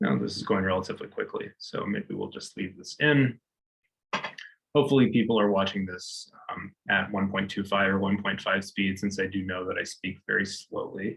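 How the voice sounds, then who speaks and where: A man with a normal speaking voice, fairly low in pitch, at a moderate pace with ordinary pitch variation. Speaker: university lecturer. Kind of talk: tutorial.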